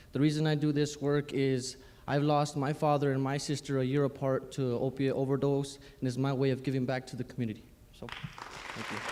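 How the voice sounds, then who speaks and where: Crowd noise fills the background as a fairly high-pitched man talks fairly quickly in a monotone, flat intonation. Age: 20s. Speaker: gymnastics teacher and youth mentor. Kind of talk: panel introduction. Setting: live-streamed round table event.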